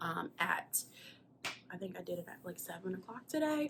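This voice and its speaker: A woman with an American accent, medium pitch, lively intonation and a moderate pace. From South Carolina. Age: 20s. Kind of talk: casual talk to camera.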